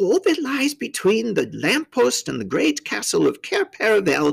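A natural voice reading aloud

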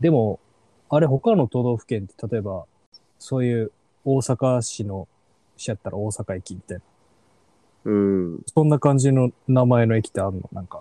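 With an Osaka accent, a man speaks at a moderate pace and medium pitch, with ordinary pitch variation, a dark, mellow tone, long, frequent pauses and a dry, close sound with no echo. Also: big swings in loudness. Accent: Osaka Kansai dialect. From Osaka city, Japan. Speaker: podcast host. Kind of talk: casual chat.

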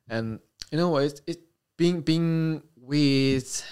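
The speaker has a Korean accent, captured in a very clean recording with a silent background. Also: man. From South Korea, Incheon. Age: 20s. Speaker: military air traffic controller. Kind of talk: casual chat. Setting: in-person recording with camera. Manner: halting.

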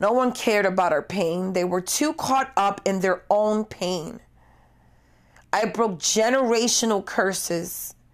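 At a fairly slow pace, a woman of medium pitch talks with very even loudness, ordinary pitch variation and an ordinary speaking voice. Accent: American. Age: 40s. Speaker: podcast host. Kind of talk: personal monologue.

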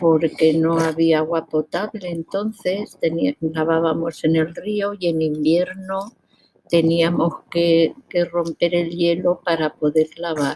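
A woman speaks very slowly in a fairly low, dark, mellow voice. Her intonation stays flat and monotone, and her loudness is very even. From Spain, rural village near Requena (Valencia region). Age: 80s+. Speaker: grandmother sharing childhood memories. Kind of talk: interview, personal reminiscence.

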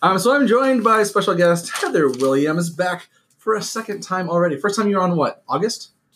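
This man talks at a fairly quick pace in a high voice with lively intonation. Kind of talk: casual chat. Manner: fast.

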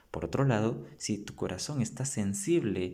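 Speaking very slowly with lively intonation, the voice has a dark, mellow tone and audible room echo. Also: man. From Guatemala, San Marcos. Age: 20s. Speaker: theology student. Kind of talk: casual chat.

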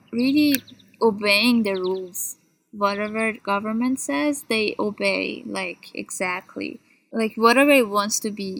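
A woman with an Iranian accent talks at a very slow pace, her fairly high pitch showing ordinary variation. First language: Persian. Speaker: PhD student. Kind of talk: casual chat. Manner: lively, varied intonation; laughs often.

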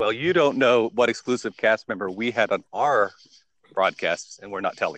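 A man's plain, everyday voice with an American accent, medium pitch, ordinary pitch variation and a moderate pace, dry and close with no echo over a quiet background. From England. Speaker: consultant and father. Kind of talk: casual chat. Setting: group call.

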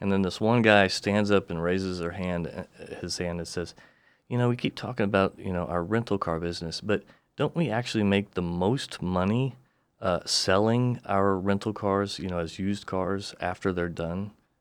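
An ordinary speaking voice at a moderate pace, with fairly even intonation. The background is quiet. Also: man, fairly low pitch for a man. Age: 40s. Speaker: defense attorney and author. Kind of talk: casual interview.

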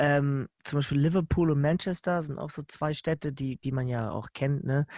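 Against a quiet background, a man in a normal speaking voice talks fairly slowly at a fairly high pitch with fairly even intonation, the sound dry and close with no echo. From northern Germany, Lower Saxony (Nienburg). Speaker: podcast host. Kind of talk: casual chat.

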